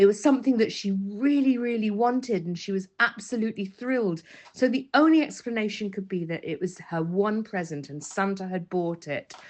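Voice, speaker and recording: Speaking at a fairly quick pace with hardly any pauses, a woman uses lively intonation and a medium pitch. She has an unremarkable speaking voice. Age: 60s. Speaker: listener sharing a voice note. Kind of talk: personal anecdote.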